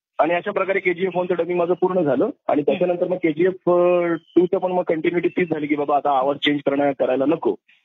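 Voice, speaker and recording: A man speaks with a high pitch, ordinary pitch variation and very even loudness. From Mumbai, Maharashtra. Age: 40s. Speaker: dubbing artist. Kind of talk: interview.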